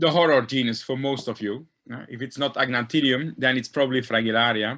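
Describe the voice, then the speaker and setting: A man's bright, sharp, medium-pitched voice in a non-native accent, fairly quick and fairly even in intonation, against a quiet background. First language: not English. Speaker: diatom taxonomist. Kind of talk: lecture. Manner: halting.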